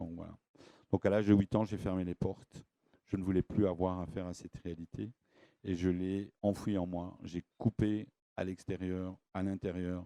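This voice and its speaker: A man speaks in a monotone with flat intonation, his very deep, low voice dark and mellow in a dry, close recording with no echo. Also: moderate pace. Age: 60s. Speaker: esoteric lecturer. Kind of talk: lecture. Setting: stage with audience. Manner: halting.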